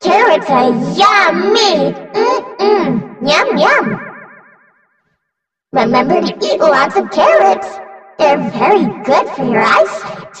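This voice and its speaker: Using a put-on character voice with a high pitch, a woman speaks at a very slow pace with long, frequent pauses and a slight echo. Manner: energetic.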